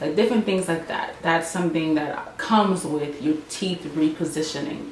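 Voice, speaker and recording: A woman's fairly low voice carries ordinary pitch variation at a moderate speed, with audible room echo and noticeable background noise around it. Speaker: beauty and lifestyle vlogger. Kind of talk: casual vlog update. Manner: halting, many fillers and restarts.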